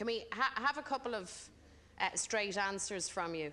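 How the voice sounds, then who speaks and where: The woman's voice carries a bright, sharp tone. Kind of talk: parliamentary questioning. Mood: pointed, critical. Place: hall. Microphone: podium.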